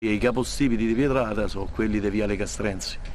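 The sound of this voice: Moving at a fast pace, a man speaks with a slightly mellow tone and fairly even intonation.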